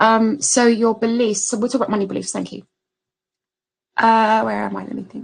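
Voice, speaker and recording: A woman speaks at a fairly quick pace but takes long, frequent pauses. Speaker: spiritual business coach. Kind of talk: webinar masterclass. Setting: online webinar screen share. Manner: fast.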